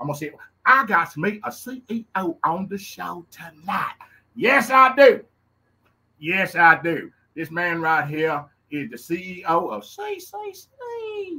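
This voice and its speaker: A man speaks very slowly with a Louisiana accent, his loudness swinging widely. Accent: Louisiana Southern US. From Louisiana, US South. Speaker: podcast host. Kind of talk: casual show intro. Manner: animated, excited.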